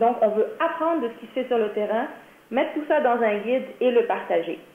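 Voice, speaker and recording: Noticeable background noise sits behind the speaker. She is a woman with a high voice. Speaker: workshop presenter for a nonprofit. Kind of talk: training presentation.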